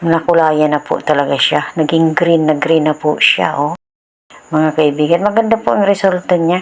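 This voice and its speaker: Hers is a plain, everyday voice, fairly low in pitch, with ordinary pitch variation and a moderate pace. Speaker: home DIY tutorial creator. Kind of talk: tutorial. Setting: home, filmed by a cameraman. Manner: informal, polite and friendly.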